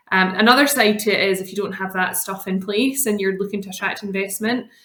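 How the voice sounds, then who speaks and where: A woman with a Scottish accent and a medium pitch. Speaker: lawyer. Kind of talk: podcast interview. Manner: many filler ums.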